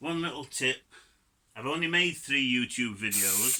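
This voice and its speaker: Bright and sharp in tone, this voice has a Yorkshire accent and ordinary pitch variation. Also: man. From Yorkshire, northern England. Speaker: DIY car hobbyist. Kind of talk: tutorial. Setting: home garage. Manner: casual, chatty.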